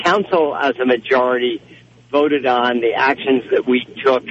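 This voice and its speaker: A man with a plain, everyday voice speaks at a medium pitch and fairly slow pace with ordinary pitch variation. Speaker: caller. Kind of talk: casual talk about storm.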